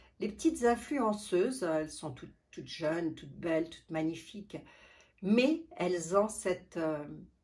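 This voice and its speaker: A woman with a fairly low-pitched voice speaks at a fairly slow pace. Her intonation is lively, with big swings in loudness. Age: 60s. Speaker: beauty vlogger. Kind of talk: casual vlog talk. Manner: halting.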